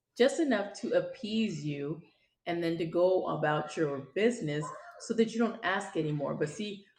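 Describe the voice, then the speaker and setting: A woman speaks at a moderate pace. Her pitch sits fairly low, and her intonation is lively. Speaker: podcast host. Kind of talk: personal monologue. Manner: loud.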